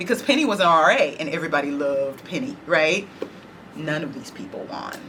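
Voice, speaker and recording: A woman with an American accent talks at a fairly quick pace, her fairly low pitch making very wide swings. Room echo is audible, and background noise is noticeable. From Dallas, Texas (Oak Cliff). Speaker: oral history interviewee. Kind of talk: oral history interview.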